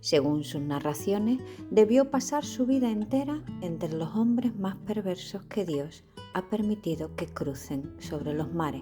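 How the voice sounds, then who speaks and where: The speaker has an Andalusian accent and talks at a fairly slow pace with very wide pitch swings. Music plays in the background. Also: woman. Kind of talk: bedtime story reading.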